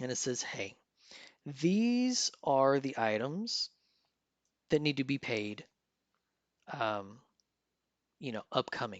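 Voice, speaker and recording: Against a quiet background, the speaker goes at a very slow pace with long, frequent pauses and very wide pitch swings. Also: man. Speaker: personal finance youtuber. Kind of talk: tutorial. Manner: casual with fillers.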